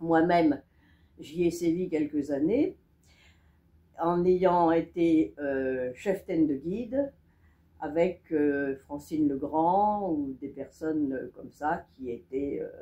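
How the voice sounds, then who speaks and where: A woman speaks in a very deep, low voice with a dark, mellow tone. Her pace is very slow, broken by long, frequent pauses. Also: ordinary pitch variation. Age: 70s. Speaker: local resident giving testimony. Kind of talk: testimony. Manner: halting.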